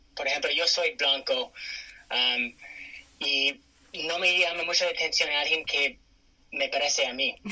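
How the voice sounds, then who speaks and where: A man with an English accent speaks at a fairly slow pace with long, frequent pauses, against noticeable background noise. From California, US. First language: English (speaking Spanish). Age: 30s. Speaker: interview guest. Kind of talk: interview. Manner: hesitant with fillers.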